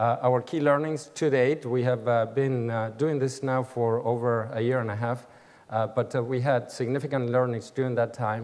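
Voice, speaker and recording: A man talks with an Argentine accent at a medium pitch. His intonation stays fairly even. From Argentina, Buenos Aires. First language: Spanish. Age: 60s. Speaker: business executive. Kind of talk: keynote speech. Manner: halting, many fillers.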